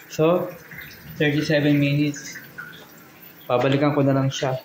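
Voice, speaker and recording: Soft-spoken and fairly high-pitched, a man talks at a fairly slow pace with monotone, flat intonation, amid audible room echo and noticeable background noise. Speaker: vlogger. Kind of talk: vlog walkthrough. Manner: soft-spoken, quiet.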